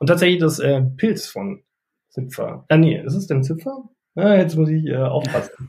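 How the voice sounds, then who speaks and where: A man's fairly high voice, dark and mellow in tone, with lively intonation. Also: moderate pace. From North Rhine-Westphalia, Germany. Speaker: etiquette academy head and business etiquette trainer. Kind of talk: casual interview chat.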